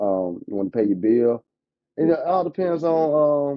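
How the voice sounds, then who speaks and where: With lively intonation, a man is talking. His pace is moderate. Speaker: insurance agent. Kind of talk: casual chat. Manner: animated.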